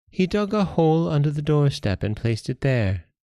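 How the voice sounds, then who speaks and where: A man talks at a fairly quick pace in a put-on character voice. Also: fairly high pitch for a man. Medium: read story.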